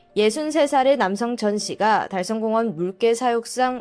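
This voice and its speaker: The speaker has a slight Daegu accent and talks at a fairly slow pace with music in the background. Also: woman. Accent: slight Daegu (Gyeongsang). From South Korea, Daegu. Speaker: mystery storyteller. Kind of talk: true-crime storytelling.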